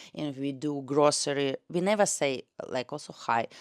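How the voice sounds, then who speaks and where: On a very clean recording with a silent background, a woman with a Russian accent speaks at a very deep, low pitch. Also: dry, close sound with no echo. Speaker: tour guide and language teacher. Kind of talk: casual vlog talk. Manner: halting with fillers.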